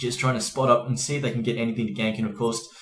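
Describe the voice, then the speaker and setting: The man's voice is pitched in the medium range. Behind him, music can be heard. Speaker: esports shoutcaster.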